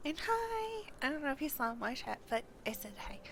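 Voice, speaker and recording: A high-pitched woman's voice swings very widely in pitch, with noticeable background noise behind it. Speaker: game streamer. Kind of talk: live gameplay stream with reading of game dialogue. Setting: live stream. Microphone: sound unbalanced, quiet.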